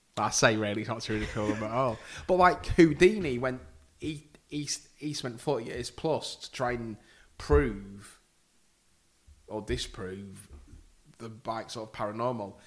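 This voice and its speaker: A man with a Yorkshire accent at medium pitch and moderate pace, with long, frequent pauses, very wide pitch swings and big swings in loudness. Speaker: podcaster. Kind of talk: casual chat.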